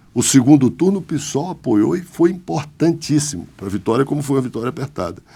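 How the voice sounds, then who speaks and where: A man with a dark, mellow tone and vocal fry speaks at a fairly quick pace, his fairly high pitch carrying lively intonation. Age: 60s. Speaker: politician. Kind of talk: interview.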